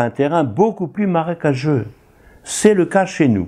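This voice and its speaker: A man with a dark, mellow tone makes very wide pitch swings against a quiet background. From northern France, Tourcoing (Nord). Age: 80s+. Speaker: retired priest. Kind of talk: interview testimony.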